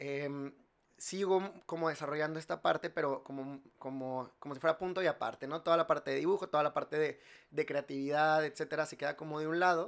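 Over a silent background in a very clean recording, a man with an unremarkable speaking voice talks at a fairly quick pace, his pitch fairly high and his intonation fairly even. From Mexico, Monterrey. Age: 30s. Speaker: industrial designer and entrepreneur. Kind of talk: casual chat.

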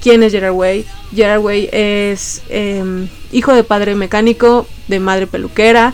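Against noticeable background noise, a woman with a medium pitch speaks at a fairly slow pace in a monotone, flat intonation. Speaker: podcast host. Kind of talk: casual chat.

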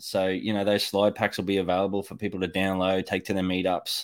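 A man with an Australian accent on a very clean recording with a silent background. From Australia, North Queensland. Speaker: electrician and Bitcoin educator. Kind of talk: casual panel chat.

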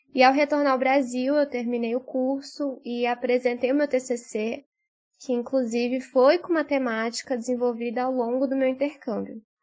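A woman speaks at a moderate pace in a high, monotone voice with flat intonation. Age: 20s. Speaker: journalist and master's student. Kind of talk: recorded testimony.

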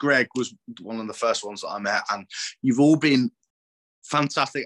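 A man's medium-pitched voice with a southern English accent, a bright, sharp tone, ordinary pitch variation, and a dry, close sound with no echo. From southern England. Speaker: former podcast host, fan. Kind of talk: casual chat.

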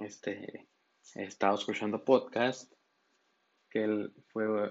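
The man speaks with a fairly low pitch. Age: 20s. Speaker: podcast host. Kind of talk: casual monologue. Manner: halting.

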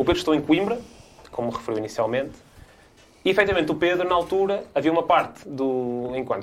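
With lively intonation and a fairly high pitch, a man speaks very fast. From northern Portugal, Guimarães. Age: 20s. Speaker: politician, parliamentary candidate. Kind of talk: political debate.

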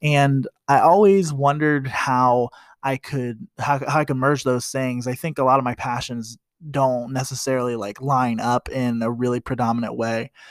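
A man at medium pitch and moderate pace with an American accent and fairly even intonation, in a dry, close sound with no echo on a very clean recording with a silent background. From US Midwest, Columbus, Ohio. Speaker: podcast host. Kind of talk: casual podcast monologue. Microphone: new microphone, gifted.

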